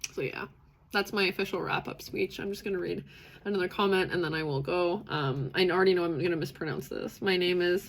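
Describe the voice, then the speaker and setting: A woman's fairly low voice with vocal fry, a fairly quick pace and ordinary pitch variation. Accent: Canadian. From western Canada, British Columbia. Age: 30s. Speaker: livestream host on neurodiversity. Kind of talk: live stream community chat. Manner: many fillers, animated.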